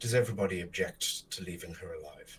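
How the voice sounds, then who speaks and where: Using a put-on character voice at medium pitch, a man talks at a very fast pace. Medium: actual play.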